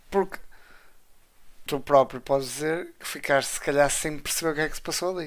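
Speaking at a fairly quick pace yet with long, frequent pauses, a man with a fairly high voice keeps his intonation fairly even. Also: big swings in loudness. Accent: European Portuguese. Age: 20s. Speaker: wrestling podcast co-host. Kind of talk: casual chat.

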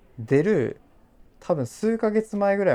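A man talks fairly slowly, his tone dark and mellow. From Japan, Kochi. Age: 30s. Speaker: podcast host and blogger. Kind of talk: casual chat.

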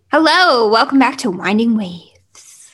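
A woman puts on a character voice, pitched fairly high and delivered at a moderate pace. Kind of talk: announcer. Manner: cheesy, over-the-top cheerful.

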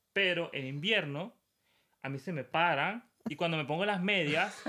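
This man has a high pitch and lively intonation. He talks at a fairly slow pace with long, frequent pauses. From Venezuela. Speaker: graphic designer. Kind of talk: casual chat.

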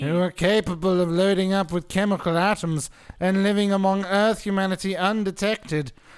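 A man puts on a nasal character voice pitched high. He talks at a fairly quick pace.

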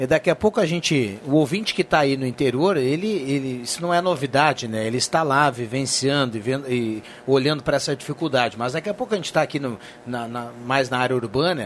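With a normal speaking voice, a man talks fairly quickly at a fairly high pitch, with ordinary pitch variation. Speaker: radio host. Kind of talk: live radio talk show. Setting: radio studio.

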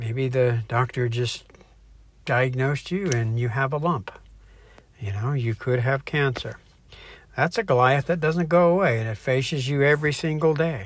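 A man's somewhat breathy, medium-pitched voice at a moderate pace, with long, frequent pauses, on a very clean recording with a silent background. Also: ordinary pitch variation. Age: 60s. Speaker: online Bible teacher. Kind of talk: devotional teaching. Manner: casual, hesitant with fillers.

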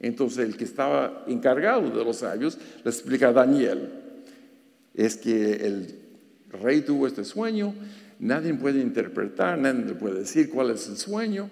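A man talking at a fairly slow pace, with long, frequent pauses and audible room echo. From Los Angeles, US (Mexican-born). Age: 60s. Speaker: gynecologist and lay preacher. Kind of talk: sermon. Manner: halting, many fillers.

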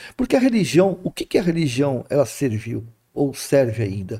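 A man speaks with a dark, mellow tone and a somewhat breathy quality, his intonation lively. The sound is dry and close, with no echo. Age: 60s. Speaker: spiritist speaker. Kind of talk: casual spiritual talk in interview.

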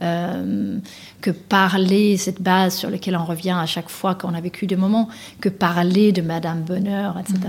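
A woman talks at a fairly slow pace and a medium pitch, in a Danish accent. Her voice is somewhat breathy, and her intonation is monotone and flat. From Denmark. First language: Danish (speaking French). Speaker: author and executive coach. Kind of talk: interview. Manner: hesitant, many fillers.

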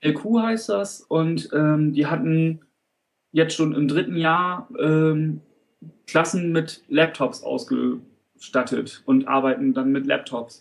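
A man speaks at a very slow pace with very even loudness. His fairly high voice moves in very wide pitch swings. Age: 30s. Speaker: teacher trainee. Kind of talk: interview. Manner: halting.

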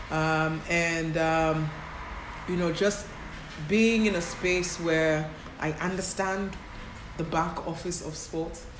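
A woman speaks very slowly at a fairly low pitch, flat and monotone, with long, frequent pauses, audible room echo and noticeable background noise. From Kenya, Nairobi. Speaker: sports agency founder. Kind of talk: interview. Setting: in London, noisy location.

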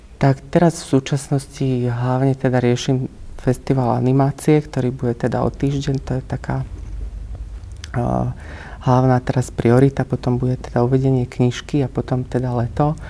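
At a moderate pace, a man speaks with flat, monotone intonation. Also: medium pitch for a man. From central Slovakia, near Banská Bystrica. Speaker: writer and screenwriter. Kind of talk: interview. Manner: hesitant, with many fillers.

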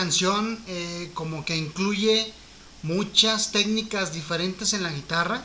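In a Mexican accent, a raised, projected voice goes at a very slow pace with fairly even intonation over noticeable background noise. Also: man, high pitch for a man. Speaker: musician and co-host. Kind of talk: casual chat about music. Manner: explanatory, hesitant with fillers.

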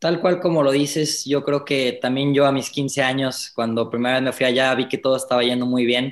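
Speaking in an ordinary speaking voice, a man holds a medium pitch, fairly even intonation, and a moderate pace. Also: hardly any pauses. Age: 20s. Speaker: racing driver. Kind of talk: interview.

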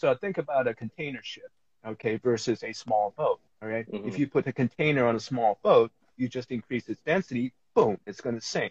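Recorded dry and close with no echo, a man with an American accent speaks fairly quickly at a medium pitch, somewhat breathy and with big swings in loudness. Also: ordinary pitch variation. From New York. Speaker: life coach. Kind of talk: interview. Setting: live stream.

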